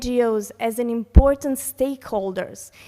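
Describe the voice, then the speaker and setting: A woman with a Serbian accent and a fairly high pitch, speaking at a fairly slow pace with ordinary pitch variation, on a very clean recording with a silent background. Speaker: conference panelist, heritage network coordinator. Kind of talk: conference reflection speech. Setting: conference hall with audience. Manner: halting, many fillers.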